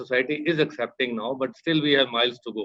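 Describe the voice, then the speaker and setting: Speaking at a very fast pace, a man keeps to ordinary pitch variation. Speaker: doctor. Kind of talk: panel discussion.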